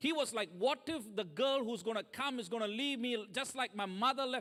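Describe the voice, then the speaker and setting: The speaker has a non-native accent and talks at a fairly quick pace. The pitch varies in an ordinary way. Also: man. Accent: foreign. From third world country. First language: not English. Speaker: guest preacher. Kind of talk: sermon.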